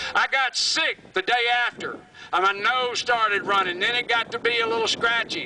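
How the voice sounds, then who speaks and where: A raised, projected voice in a Southern US accent, animated and passionate, with ordinary pitch variation at a moderate pace over noticeable background noise. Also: man, extremely high pitch for a man. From US South, Alabama. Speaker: environmental activist, creek keeper. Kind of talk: rally speech, fiery and defiant, addressed to a crowd. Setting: stage with audience at rally. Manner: passionate, angry, loud, blunt and emphatic; animated, storytelling with vivid detail. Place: stage. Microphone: camera far.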